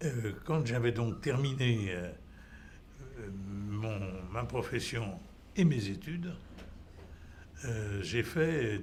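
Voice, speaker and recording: A man's somewhat breathy, medium-pitched voice, very slow with long, frequent pauses and lively intonation, amid audible room echo. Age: 80s+. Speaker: patient. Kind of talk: testimony. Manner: halting.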